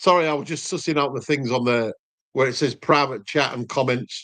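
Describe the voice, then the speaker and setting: With a Yorkshire accent and lively intonation, a man talks at a very fast pace against a quiet background. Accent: Yorkshire (Hull). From Hull, Yorkshire. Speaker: cooking youtuber. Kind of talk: casual chat.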